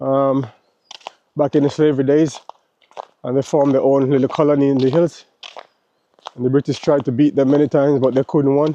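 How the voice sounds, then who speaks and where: With a Jamaican accent, a man talks at a fairly quick pace and a fairly high pitch in a monotone, flat intonation, leaving long, frequent pauses, the sound dry and close with no echo. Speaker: travel vlogger. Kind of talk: casual vlog monologue. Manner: casual, filler-heavy.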